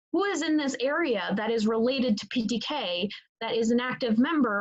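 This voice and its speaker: A woman speaks with ordinary pitch variation and a somewhat breathy voice. The sound is dry and close, with no echo. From Italy. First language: Italian. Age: 20s. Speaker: student leader candidate. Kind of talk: interview. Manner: halting, many fillers.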